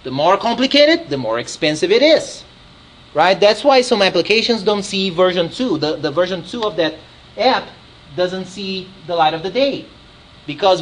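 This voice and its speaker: A man's high-pitched voice with a Brazilian Portuguese accent, moderate pace and very wide pitch swings, plus noticeable background noise. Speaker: software developer presenter. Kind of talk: technical presentation. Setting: user group meeting with audience. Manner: animated; repeats words often.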